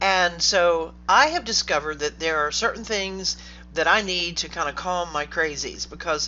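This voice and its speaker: With ordinary pitch variation, an unremarkable speaking voice moves along at a moderate pace. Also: woman. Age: 60s. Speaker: online business coach. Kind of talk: direct-to-camera talk. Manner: casual, with fillers.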